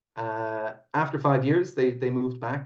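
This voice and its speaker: The man's voice sits at medium pitch and sounds somewhat breathy. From Ireland, Dublin. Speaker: whiskey company founder. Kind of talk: podcast interview.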